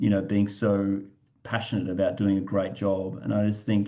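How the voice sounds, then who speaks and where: A man's dark, mellow voice at fairly low pitch, against a quiet background. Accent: Australian. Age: 40s. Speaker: parenting group founder. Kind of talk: webinar presentation. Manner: halting, many fillers.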